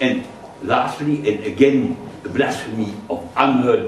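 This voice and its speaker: With a German accent, a man speaks in very wide pitch swings over noticeable background noise. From Germany. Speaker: physicist and political activist. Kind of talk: public lecture.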